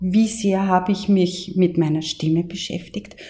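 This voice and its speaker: With an Austrian accent, a woman speaks at a medium pitch in a dark, mellow, somewhat breathy tone with fairly even intonation. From Austria, Mostviertel. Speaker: voice coach. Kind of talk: interview.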